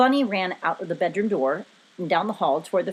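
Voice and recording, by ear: Someone reads aloud in a natural voice with lively intonation.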